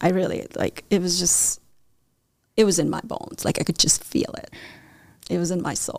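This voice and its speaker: A woman with a medium pitch and vocal fry talks at a moderate pace. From India. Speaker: painter and muralist. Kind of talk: casual interview. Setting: studio.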